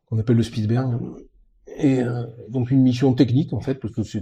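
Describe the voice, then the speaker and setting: A man speaks with fairly even intonation. His tone is dark and mellow, and somewhat breathy. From Mediterranean France. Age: 70s. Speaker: polar expedition sailor. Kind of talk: interview. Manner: halting.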